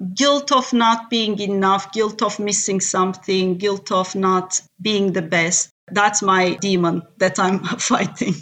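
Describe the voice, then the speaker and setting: A woman with a Turkish accent speaks at a very slow pace and medium pitch, with fairly even intonation, very even loudness, and hardly any pauses. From Turkey. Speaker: tech executive. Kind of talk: interview. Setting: remote call.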